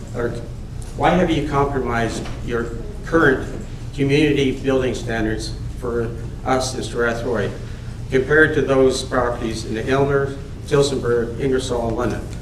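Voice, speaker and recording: This man has a medium pitch and fairly even intonation at a moderate pace, with long, frequent pauses. Audible room echo and noticeable background noise are present. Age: 70s. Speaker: resident speaking at council meeting. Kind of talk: public delegation speech. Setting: council chamber with PA microphone. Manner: halting.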